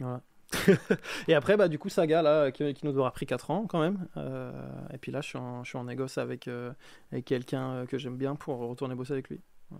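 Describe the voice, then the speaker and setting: Recorded very cleanly against a silent background, a man speaks at a medium pitch with ordinary variation and long, frequent pauses. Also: fairly quick pace. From France. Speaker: game designer. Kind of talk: casual chat.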